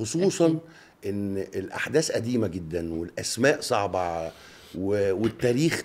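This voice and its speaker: A man's fairly low voice with very wide pitch swings. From Egypt. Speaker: actor. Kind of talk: radio interview answer. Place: studio. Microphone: studio mic.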